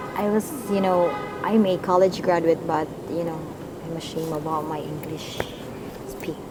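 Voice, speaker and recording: With a Cebuano accent and fairly even intonation, a woman speaks at a fairly low pitch with long, frequent pauses, audible room echo and music in the background. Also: moderate pace. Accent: Filipino (Cebuano). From Philippines, Cebu province. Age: 20s. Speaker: school teacher. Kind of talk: casual interview. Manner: halting, hesitant.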